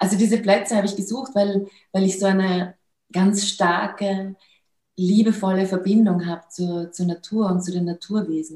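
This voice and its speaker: At a moderate pace, a woman speaks with a dark, mellow tone and medium pitch. Her voice is somewhat breathy, her intonation fairly even. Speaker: film producer and awakening coach. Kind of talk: interview. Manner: halting, many fillers.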